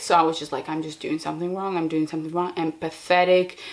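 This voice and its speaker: A woman's fairly low voice with a non-native accent, monotone and flat in intonation. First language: not English. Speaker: podcaster and video creator. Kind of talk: casual monologue. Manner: casual with many fillers.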